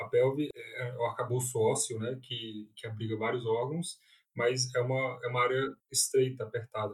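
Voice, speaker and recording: A man with a Brasília accent speaks with big swings in loudness. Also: moderate pace. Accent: Brazilian Portuguese, Brasília. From Brazil, Brasília. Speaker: urologist. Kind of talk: interview. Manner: halting, frequent repetitions.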